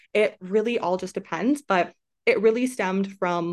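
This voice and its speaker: A woman with a Canadian accent talks at a moderate pace with ordinary pitch variation. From Canada, small town. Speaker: relocation coach, entrepreneur. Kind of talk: interview conversation. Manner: animated.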